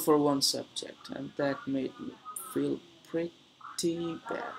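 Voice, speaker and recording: This man's voice is fairly high, with ordinary pitch variation. Noticeable background noise sits behind it. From Bangladesh, Dhaka. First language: Bengali. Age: 20s. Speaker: streamer. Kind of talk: casual chat. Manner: halting.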